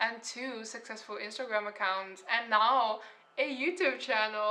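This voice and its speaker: Speaking at a moderate pace, a woman has a fairly high voice and fairly even intonation. She has a strong non-native accent. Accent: heavy foreign accent (own remark). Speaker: artist and painter. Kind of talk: casual story time vlog.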